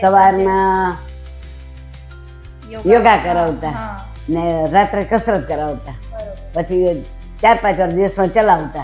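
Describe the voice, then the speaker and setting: Music in the background behind a woman with fairly even intonation. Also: medium pitch for a woman. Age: 70s. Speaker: diabetes patient. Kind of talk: patient testimonial interview answers. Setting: hospital.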